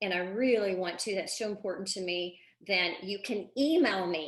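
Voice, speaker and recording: Ordinary pitch variation marks a woman's medium-pitched voice, spoken with a Texan accent. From Texas, Houston. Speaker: parenting coach. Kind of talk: live online masterclass. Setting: live video stream. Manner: animated.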